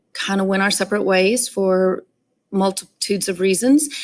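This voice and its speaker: A woman talks with a Texan accent. Her pitch is medium. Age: 40s. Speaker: stepmom support vlogger and teacher. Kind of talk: personal story monologue. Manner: casual, many filler ums.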